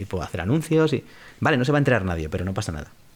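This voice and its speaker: A man's fairly low, somewhat breathy voice at a very fast pace, with very wide pitch swings, on a very clean recording with a silent background. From Spain, Madrid. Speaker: voice actor and former radio DJ. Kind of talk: interview. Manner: casual.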